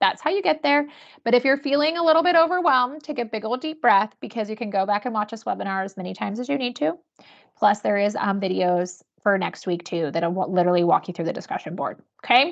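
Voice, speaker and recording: Over a quiet background, a woman talks very fast with very wide pitch swings. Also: fairly high pitch for a woman. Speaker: university instructor. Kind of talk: webinar tutorial. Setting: webinar video call.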